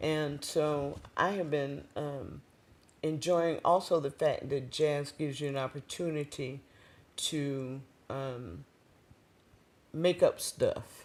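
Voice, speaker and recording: Very slowly and with long, frequent pauses, a woman speaks in a very deep, low pitch with fairly even intonation. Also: very clean recording, silent background. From Maryland and South Carolina. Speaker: jazz and blues singer. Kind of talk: interview. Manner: halting.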